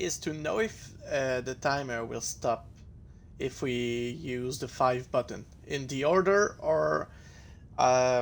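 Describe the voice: A man speaks slowly at a medium pitch, with vocal fry. His pitch varies in an ordinary way.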